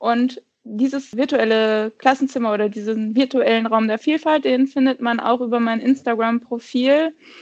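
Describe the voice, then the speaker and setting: Speaking at a moderate pace, a woman uses a high pitch and fairly even intonation. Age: 30s. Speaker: secondary school teacher. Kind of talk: casual interview.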